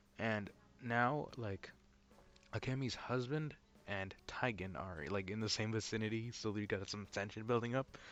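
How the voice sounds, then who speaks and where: Male speech in a normal speaking voice, with ordinary pitch variation, a fairly low pitch and a moderate pace. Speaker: YouTube reviewer. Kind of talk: video review recap. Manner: casual with many fillers.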